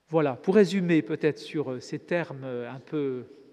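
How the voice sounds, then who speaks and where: A man's fairly high voice, dark and mellow in tone, with lively intonation at a fairly slow pace. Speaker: Dominican friar and preacher. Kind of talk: lecture. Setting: church.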